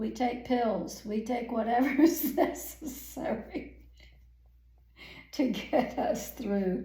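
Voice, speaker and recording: Very slowly, with long, frequent pauses, a woman speaks at a high pitch with ordinary pitch variation. Audible room echo and noticeable background noise fill the recording. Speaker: painting instructor. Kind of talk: tutorial.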